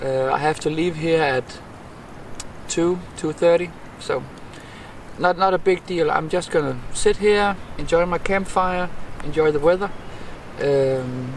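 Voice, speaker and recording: A man with a Danish accent speaks at a high pitch with ordinary pitch variation. His pace is fairly slow, with long, frequent pauses. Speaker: bushcraft vlogger. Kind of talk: casual outdoor vlog talk to camera. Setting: outdoors in a forest by a campfire. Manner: halting, many repeats and fillers.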